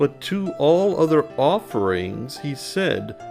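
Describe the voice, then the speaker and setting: With music in the background, a man speaks at a very slow pace and fairly high pitch in a calm, soothing tone, his pitch swinging very widely. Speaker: storyteller. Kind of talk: children's bedtime story reading.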